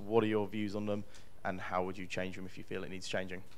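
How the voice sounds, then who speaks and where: Here a man speaks at a fairly low pitch. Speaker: student audience member. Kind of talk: question from the floor. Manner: fast.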